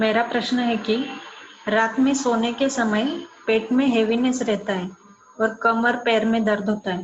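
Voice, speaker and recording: A woman speaks in a flat monotone at a fairly high pitch, with noticeable background noise behind her. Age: 30s. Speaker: caller asking a health question. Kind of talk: recorded question.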